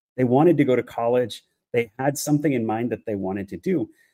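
An unremarkable speaking voice with an American accent. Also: man. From United States, Mexican Salvadoran family. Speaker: economist and strategic coach. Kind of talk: interview conversation.

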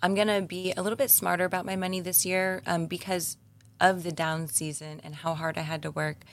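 In an ordinary speaking voice, a woman talks at a fairly quick pace. Her pitch is fairly low, and the recording is very clean with a silent background. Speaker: stripper. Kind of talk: casual chat.

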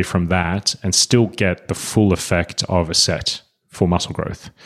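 Here a man speaks with an Australian accent at a fairly slow pace. His voice is very deep and low. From Australia, Sydney. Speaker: fitness coach. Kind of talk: casual interview chat.

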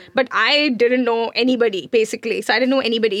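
A woman's fairly high-pitched voice moves at a very fast pace. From India, Mumbai. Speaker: brand consultant, business founder. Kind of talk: podcast interview.

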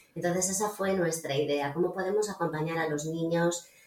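Noticeable background noise sits behind this woman's voice. She keeps a fairly even intonation. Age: 50s. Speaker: psychologist and coach. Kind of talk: casual chat.

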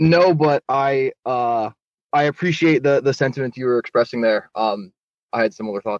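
Dry and close with no echo, a man's ordinary speaking voice comes at a moderate pace and medium pitch with ordinary pitch variation. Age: 20s. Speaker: caller. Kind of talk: call-in question.

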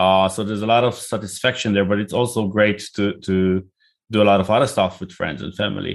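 A man with an Israeli accent and a fairly low pitch, at a fairly quick pace. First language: Hebrew. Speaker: tech company CEO and founder. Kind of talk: interview. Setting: video call.

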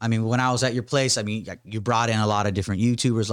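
A man with a fairly low voice speaks very fast on a very clean recording where the background is silent. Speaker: podcast host. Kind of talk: casual interview.

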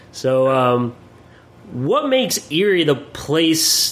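With an American accent, a man speaks amid noticeable background noise. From Pennsylvania, Williamsport. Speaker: podcast host. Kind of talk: casual interview.

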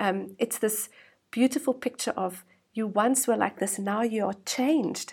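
In a very clean recording with a silent background, a woman speaks with lively intonation in a fairly high, somewhat breathy voice. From South Africa. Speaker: women's ministry worker. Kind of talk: interview.

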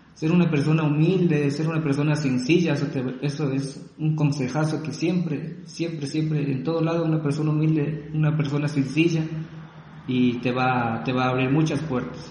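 A man at a moderate pace, fairly high in pitch and monotone, flat in intonation, with audible room echo. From Ecuador. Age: 30s. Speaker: civil engineer and graphic designer. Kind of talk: interview. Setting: remote call.

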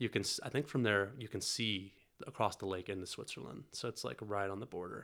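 An ordinary speaking voice from a man with an American accent, fairly low-pitched with ordinary pitch variation, at a fairly quick pace. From US South, North Carolina. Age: 20s. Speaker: podcast guest sharing grief story. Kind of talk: casual interview chat.

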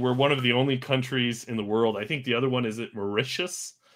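A man with an American accent at medium pitch, with fairly even intonation and a very fast pace. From United States. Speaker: podcast co-host. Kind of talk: casual interview.

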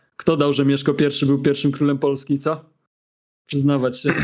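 The speaker is a man. His pitch sits fairly high. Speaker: podcast co-host. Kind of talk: casual chat. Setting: remote call via Discord.

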